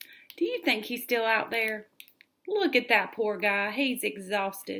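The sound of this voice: An unforced reading voice, lively in intonation, over a quiet background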